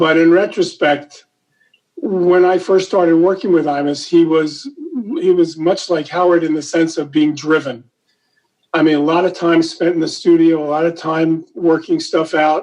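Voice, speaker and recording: A man speaks in a high pitch at a moderate pace. His intonation stays monotone and flat. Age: 70s. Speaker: radio comedian and impressionist. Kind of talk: interview. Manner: halting.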